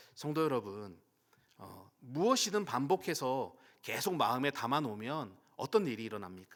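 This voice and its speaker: The recording is very clean with a silent background. A man speaks at a fairly high pitch with very wide pitch swings. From Daejeon, South Korea. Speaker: pastor. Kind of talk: sermon.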